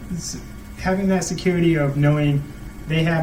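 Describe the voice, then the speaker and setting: Heard through audible room echo and noticeable background noise, a man speaks at a moderate pace with fairly even intonation. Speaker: student vlogger. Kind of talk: casual monologue to camera. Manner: halting; sometimes very quiet.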